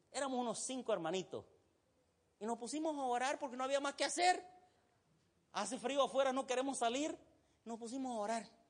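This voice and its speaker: With a Santa Cruz Bolivian accent, a man speaks at a fairly quick pace in an extremely high pitch, leaving long, frequent pauses. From Egypt. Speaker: pastor. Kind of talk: sermon.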